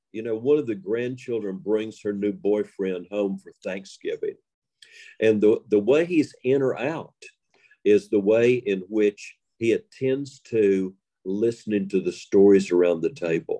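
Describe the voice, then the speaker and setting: A man with an Appalachian accent speaks fairly slowly in a fairly low pitch, his tone dark and mellow, with ordinary pitch variation. The sound is dry and close with no echo over a quiet background. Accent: Appalachian Southern US. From Western North Carolina. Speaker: storyteller. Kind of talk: interview.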